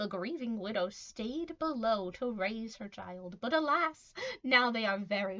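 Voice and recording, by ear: Someone reads aloud in a natural voice. Lively intonation runs through it.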